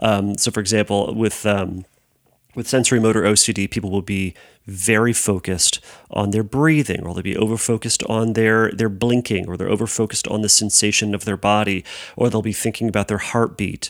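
A man is speaking here. He goes at a fairly quick pace with fairly even intonation. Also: fairly low pitch for a man, very clean recording, silent background. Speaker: therapist podcast host. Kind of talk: solo Q&A podcast monologue. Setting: empty room at home. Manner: hesitant with many filler words.

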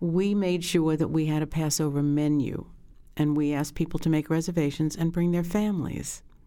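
A woman with an American accent, very deep and low in pitch, dark and mellow in tone, fairly quick in pace, with fairly even intonation and very even loudness. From New York City (Brooklyn). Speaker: retired restaurant owner and chef. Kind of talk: interview storytelling.

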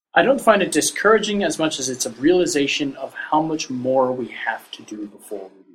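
Music plays behind a man's voice. He speaks at a moderate pace with a fairly high pitch. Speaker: podcast co-host. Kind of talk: casual discussion.

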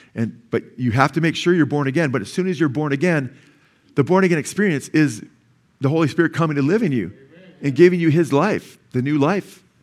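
This man talks at a fairly quick pace with a fairly high pitch. His pitch varies in an ordinary way. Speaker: pastor. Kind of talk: sermon. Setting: church. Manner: fast.

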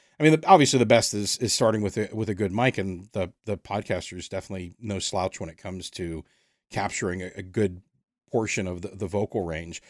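A man with an American accent and an ordinary speaking voice, fairly low in pitch with ordinary pitch variation, at a fairly quick pace with big swings in loudness, in a dry, close sound with no echo. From United States. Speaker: podcast host and audio drama writer. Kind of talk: casual interview. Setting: remote call across time zones.

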